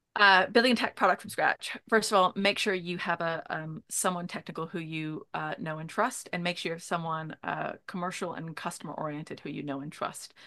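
Against a quiet background, a woman with a fairly low pitch talks at a fairly quick pace with hardly any pauses, ordinary pitch variation and big swings in loudness. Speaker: product lead at a fintech company. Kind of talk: casual interview conversation. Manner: hesitant with many filler words.

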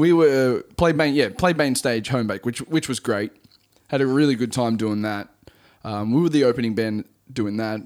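A man speaks at medium pitch with an Australian accent. His pitch varies in an ordinary way at a moderate pace. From Central Coast, New South Wales, Australia. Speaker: music producer and singer. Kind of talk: casual interview chat. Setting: guest's home studio.

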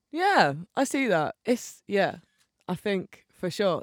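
A voice with a Bristol accent comes through on a very clean recording with a silent background. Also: woman. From England, Bristol. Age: 20s. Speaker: musician. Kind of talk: casual chat.

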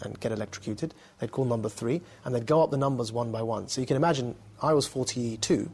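Somewhat breathy, a man talks at a very fast pace. His pitch is medium, with ordinary variation. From England, Essex. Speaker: former extremist turned counter-extremism activist. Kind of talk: interview.

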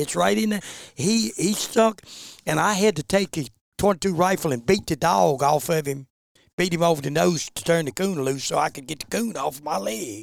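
Man with an Appalachian accent, fairly high pitch, very wide pitch swings, moderate pace, dry, close sound with no echo. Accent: Appalachian Southern US. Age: 70s. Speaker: bear hunter and dog breeder. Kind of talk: casual chat.

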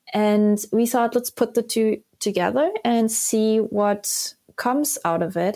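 On a very clean recording with a silent background, a woman with a fairly high pitch and a dark, mellow tone speaks at a very slow pace with ordinary pitch variation. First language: Korean. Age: 30s. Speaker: sustainable finance program leader. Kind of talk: interview.

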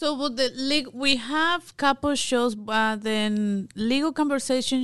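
With a Mexican accent and a high voice, a woman speaks very slowly against a quiet background. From Mexico. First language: Spanish. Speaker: immigration legal expert. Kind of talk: casual chat.

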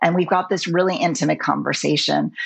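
A woman speaks fairly briskly with noticeable noise going on behind her. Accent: American. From New York City, later Los Angeles. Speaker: cinematographer. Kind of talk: interview. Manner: animated, many fillers and restarts.

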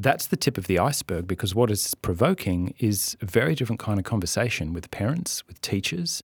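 In a very clean recording with a silent background and a dry, close sound with no echo, a man with an Australian accent speaks fairly quickly at a fairly low pitch. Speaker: writer and former senator. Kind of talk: interview.

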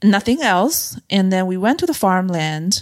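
Someone with a Chinese accent is heard on a very clean recording with a silent background. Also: woman. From China, mid-size city. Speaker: freediver and freediving coach. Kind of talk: casual chat. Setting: in person over wine in Nairobi.

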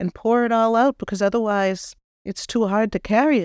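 In a Boston accent, a woman talks at a moderate pace with a fairly high pitch. The sound is dry and close with no echo, on a very clean recording with a silent background. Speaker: spiritual medium and podcast host. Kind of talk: spiritual talk with guided reflection. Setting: office studio.

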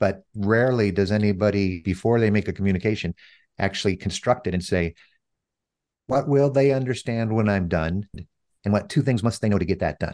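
An ordinary speaking voice with an American accent moves at a fairly quick pace, with very even loudness and ordinary pitch variation, over a quiet background. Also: man, fairly low pitch for a man. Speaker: author and CEO, former radio DJ. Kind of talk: casual interview conversation. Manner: fluent, with frequent fillers.

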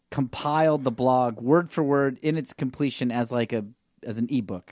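On a very clean recording with a silent background and a dry, close sound with no echo, a man speaks at a fairly high pitch with ordinary pitch variation. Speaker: improv comedian and actor. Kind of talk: casual chat. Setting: studio. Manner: relaxed.

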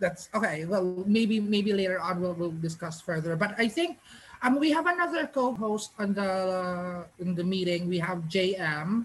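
Her voice somewhat breathy, a woman with a medium pitch speaks at a moderate pace with ordinary pitch variation. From Philippines. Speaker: psychic podcast co-host. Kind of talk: casual chat. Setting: call.

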